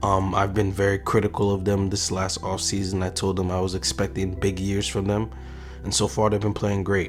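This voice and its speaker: Over music in the background, a man with a very deep, low pitch speaks fairly quickly and with fairly even intonation. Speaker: basketball commentator. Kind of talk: casual sports commentary to camera.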